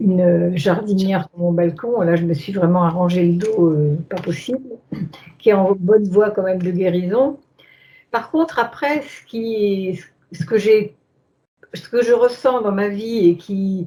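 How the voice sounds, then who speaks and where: Speaking at a very slow pace, a woman pauses long and often. Her medium-pitched voice is somewhat breathy, with a dark, mellow tone. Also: ordinary pitch variation. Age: 70s. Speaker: hypnosis session client. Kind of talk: interview about personal life. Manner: hesitant, many fillers.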